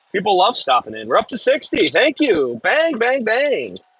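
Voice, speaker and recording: With an American accent, the voice swings very widely in pitch, and the sound is dry and close with no echo. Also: man. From US Midwest, Michigan. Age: 30s. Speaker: excavator operator streamer. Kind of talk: casual live stream chat.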